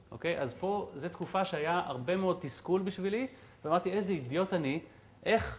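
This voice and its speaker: A man's high-pitched voice at a fairly quick pace. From Israel. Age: 40s. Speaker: entrepreneur and guest lecturer; guest lecturer. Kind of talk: lecture. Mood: reflective storytelling. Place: hall. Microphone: lapel.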